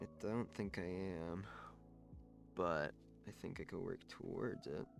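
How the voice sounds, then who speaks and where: A soft-spoken man talks with music playing in the background. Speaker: streamer. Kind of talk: casual chat. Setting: live stream.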